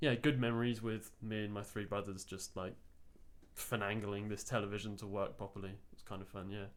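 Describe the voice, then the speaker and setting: A man with an English accent, fairly low in pitch, fairly quick in pace, and fairly even in intonation. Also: big swings in loudness. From England. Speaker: visiting games researcher. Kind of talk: podcast interview.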